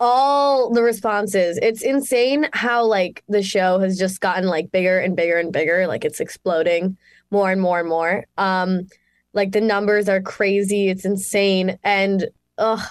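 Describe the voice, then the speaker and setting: Speaking at a moderate pace and medium pitch, a woman with a normal speaking voice keeps very even loudness and ordinary pitch variation. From Canada, Mississauga, Ontario. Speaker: actress. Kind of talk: interview. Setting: video call.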